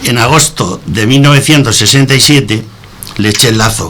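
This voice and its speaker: Noticeable background noise fills the recording. The man talks at a moderate pace, his pitch varying in an ordinary way. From Spain, moved around as child (born Antequera, Andalusia). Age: 70s. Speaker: retired bank employee, radio guest. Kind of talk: reading aloud a prepared personal text.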